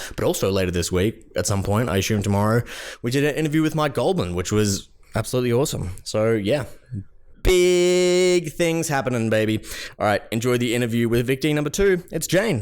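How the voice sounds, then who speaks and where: A man with an Australian accent swings his pitch very widely while keeping his loudness very even, on a very clean recording with a silent background. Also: medium pitch for a man, fairly quick pace. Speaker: podcast host. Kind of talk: podcast intro, casual talk.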